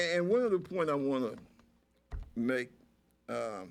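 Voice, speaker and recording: A man with an American accent speaks at a very slow pace. His voice is fairly high, with lively intonation. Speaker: talk show host; navy veteran. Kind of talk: political commentary discussion. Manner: slow when thinking.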